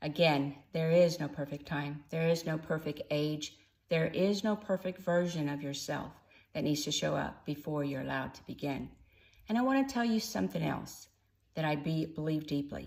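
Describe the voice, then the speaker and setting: A woman with an American accent and a very deep, low pitch, at a moderate pace with ordinary pitch variation, on a very clean recording with a silent background. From Texas, Austin. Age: 60s. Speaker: first-time author and newsletter writer. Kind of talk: personal introduction video to camera, reading from cue cards. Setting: in front of a camera, unedited.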